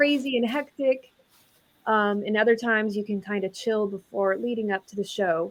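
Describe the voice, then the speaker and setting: A woman speaks softly at a fairly slow pace. Her pitch is fairly high. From Texas, near Dallas. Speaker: rock guitarist. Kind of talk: interview. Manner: soft-spoken.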